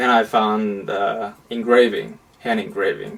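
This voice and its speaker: A man with a Chinese accent. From China. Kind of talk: interview. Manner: halting.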